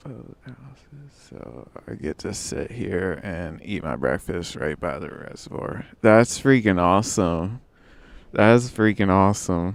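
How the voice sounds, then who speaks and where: A man with a very deep, low voice talks at a very slow pace with vocal fry, lively intonation and big swings in loudness. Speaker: gaming livestreamer. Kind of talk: casual livestream chat. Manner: halting, stammering.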